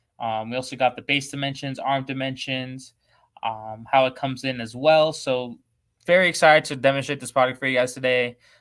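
A man speaks at a medium pitch. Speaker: webinar host demonstrating photo booth products. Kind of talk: live product webinar. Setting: live stream from company showroom. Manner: fast talker; animated.

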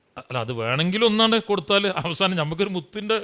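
A man speaks in a bright, sharp tone. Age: 50s. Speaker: Islamic preacher. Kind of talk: sermon.

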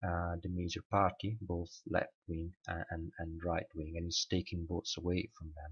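A man's very deep, low voice with a non-native accent at a fairly slow pace. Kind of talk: casual talk to camera. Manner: hesitant, many fillers.

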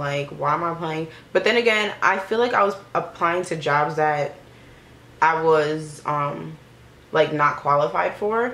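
A woman with a very deep, low pitch speaks amid audible room echo. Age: 20s. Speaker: YouTuber, recent college graduate. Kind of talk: casual vlog chat while doing makeup. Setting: at home in front of a camera and mirror. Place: home room. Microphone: phone near.

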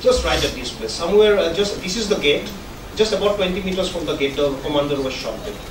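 Over noticeable background noise, a man with a high pitch speaks with ordinary pitch variation. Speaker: journalist presenter. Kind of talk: lecture. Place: hall. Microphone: podium.

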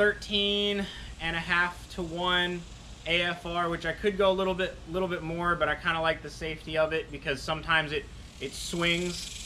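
Against light background noise, a high-pitched man talks at a moderate pace. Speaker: car owner vlogger. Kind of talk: casual vlog chat. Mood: relaxed, pleased. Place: street. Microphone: camera far.

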